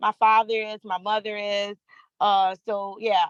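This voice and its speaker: Recorded with a dry, close sound and no echo, a woman speaks in a Louisiana accent with fairly even intonation. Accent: US Southern (Louisiana). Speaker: freight dispatcher. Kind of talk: casual chat.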